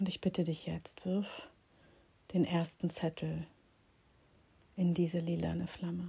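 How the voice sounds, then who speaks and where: In a calm, soothing, dark and mellow tone, a woman with a fairly low pitch and a somewhat breathy voice speaks slowly in a monotone, flat intonation, leaving long, frequent pauses. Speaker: meditation guide and healing practitioner. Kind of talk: guided meditation. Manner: slow, soft, calm and soothing; gentle, pausing, dreamy, intimate pacing.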